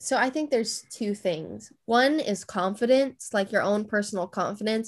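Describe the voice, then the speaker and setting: In an unremarkable speaking voice with an American accent, a woman talks with a fairly high pitch and ordinary pitch variation on a very clean recording with a silent background. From California. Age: 20s. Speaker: engineering psychologist and self-taught designer. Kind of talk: casual interview chat.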